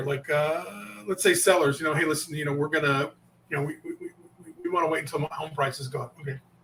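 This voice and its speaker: A man with a fairly high voice talks at a very fast pace, his intonation fairly even. His loudness swings widely, and there is noticeable background noise. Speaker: sales coach. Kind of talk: interview.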